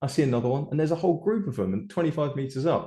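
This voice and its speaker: With a British accent, a man speaks in a dark, mellow tone that is somewhat breathy, his intonation lively. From UK. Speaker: amphibian biologist. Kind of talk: Q&A answer, casual.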